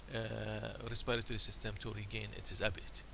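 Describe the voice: Vocal fry runs through the voice. The pitch shows little movement. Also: man.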